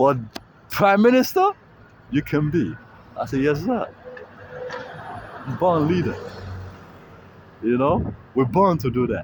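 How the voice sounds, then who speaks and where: Fairly high male voice with a non-native accent, very wide pitch swings, a fairly slow pace, long, frequent pauses and noticeable background noise. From Africa. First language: not English. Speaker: street livestreamer. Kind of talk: street livestream monologue. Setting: outdoors. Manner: halting.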